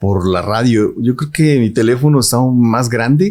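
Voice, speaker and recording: Dark and mellow in tone, a man's medium-pitched voice moves at a moderate pace. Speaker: radio announcer. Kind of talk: interview answer.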